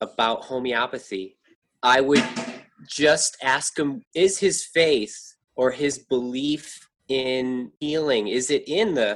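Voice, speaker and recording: A man with an unremarkable speaking voice speaks at a medium pitch, with an American accent and lively intonation. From New York. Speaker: furniture repairer. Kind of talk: interview.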